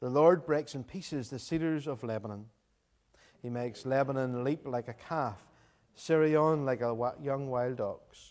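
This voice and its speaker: In a very clean recording with a silent background, a man talks at a moderate pace in an unremarkable speaking voice, medium in pitch with ordinary pitch variation. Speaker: church service leader. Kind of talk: sermon. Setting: church.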